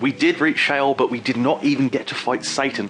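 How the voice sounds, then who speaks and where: With an English accent and lively intonation, a man speaks at a fairly high pitch amid noticeable background noise. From England. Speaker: gaming youtuber. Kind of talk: let's play commentary. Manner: fast; animated.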